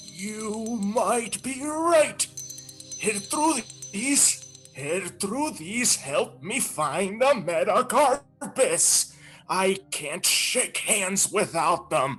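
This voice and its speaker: A man uses a put-on character voice, high in pitch and very slow. Faint music plays in the background. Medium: stage play. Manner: condescending, calm.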